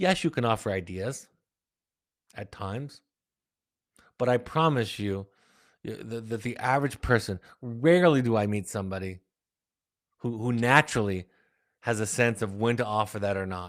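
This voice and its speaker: At a moderate pace, a man with a medium pitch speaks with ordinary pitch variation and long, frequent pauses. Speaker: psychotherapist. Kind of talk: live Q&A webinar. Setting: online live broadcast. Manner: loud voice; articulate, slightly halting with repetitions.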